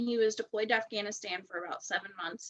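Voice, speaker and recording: This woman speaks with a slight West Virginia accent. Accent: slight West Virginia twang. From West Virginia, US. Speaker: direct sales director. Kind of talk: interview. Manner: casual, filler-heavy.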